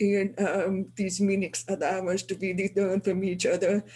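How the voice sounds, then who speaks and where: A dark, mellow tone that is somewhat breathy. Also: woman. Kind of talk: webinar panel remarks. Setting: video call from city hall office.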